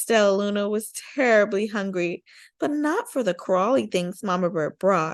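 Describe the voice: A quiet background behind plain reading aloud, with ordinary pitch variation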